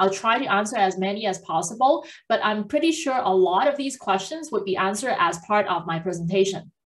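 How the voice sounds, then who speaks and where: A woman talks at a fairly quick pace with hardly any pauses. Her voice sits at a medium pitch, with lively intonation. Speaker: accountant. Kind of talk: presentation. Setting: video call. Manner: fast.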